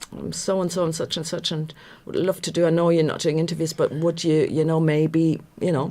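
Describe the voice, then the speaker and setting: A woman's fairly low voice with a slight Irish accent, flat and monotone, at a fairly quick pace. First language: German. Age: 50s. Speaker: radio journalist. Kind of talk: casual chat. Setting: live radio studio with webcams.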